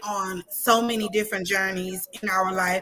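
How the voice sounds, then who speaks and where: A woman speaks loudly in a bright, sharp tone. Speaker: talk show host. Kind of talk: casual chat.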